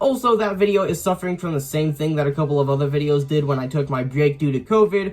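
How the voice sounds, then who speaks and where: A man talks at a very fast pace with hardly any pauses, his pitch fairly high and its variation ordinary. Noticeable background noise runs under the recording. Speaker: YouTuber, RC hobbyist. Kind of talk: casual vlog recap. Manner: filler-heavy, hesitant.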